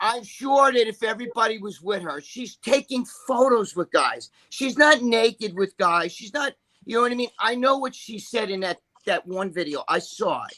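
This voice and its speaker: An animated, raised and projected voice with a bright, sharp tone, big swings in loudness, and a dry, close sound with no echo. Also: man, extremely high pitch for a man, ordinary pitch variation, moderate pace. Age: 60s. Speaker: podcast panelist. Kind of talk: casual chat.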